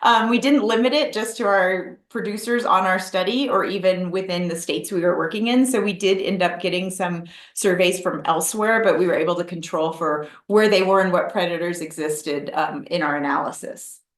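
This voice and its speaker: Audible room echo surrounds a woman at a medium pitch with ordinary pitch variation. She talks at a fairly quick pace with hardly any pauses. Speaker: wildlife researcher. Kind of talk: webinar lecture. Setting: online webinar. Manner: fast.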